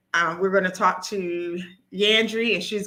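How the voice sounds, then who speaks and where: Fairly even intonation carries a bright, sharp tone. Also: woman. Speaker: nurse practitioner hosting live stream. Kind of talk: live stream presentation. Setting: live stream video.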